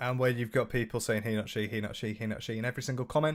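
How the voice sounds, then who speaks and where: A man with a British accent speaks at a medium pitch. The recording is very clean with a silent background. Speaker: livestreamer reading chat. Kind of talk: casual live stream chat. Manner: hesitant, many fillers.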